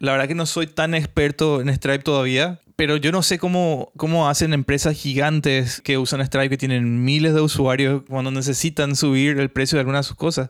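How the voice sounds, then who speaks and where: A man's fairly high, monotone, flat delivery at a fairly quick pace with hardly any pauses, on a very clean recording with a silent background. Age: 30s. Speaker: podcaster and software developer. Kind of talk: solo tech podcast monologue. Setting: hot home studio.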